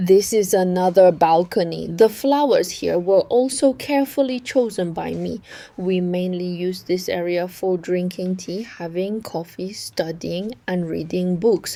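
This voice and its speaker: At a fairly slow pace, a woman in a Chinese accent speaks with a dark, mellow tone and ordinary pitch variation. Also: medium pitch for a woman. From Yunnan, China. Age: 30s. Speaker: vlogger. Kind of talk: home tour narration.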